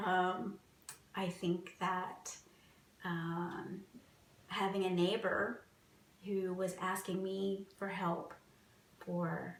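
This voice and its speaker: A woman talks at a very slow pace in a monotone, flat intonation, with long, frequent pauses and audible room echo. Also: medium pitch for a woman. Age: 40s. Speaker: cancer patient. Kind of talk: interview testimony.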